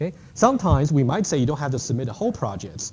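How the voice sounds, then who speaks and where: Fairly quick, somewhat breathy male speech with a dark, mellow tone and very wide pitch swings. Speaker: university lecturer. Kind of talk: lecture. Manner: fast.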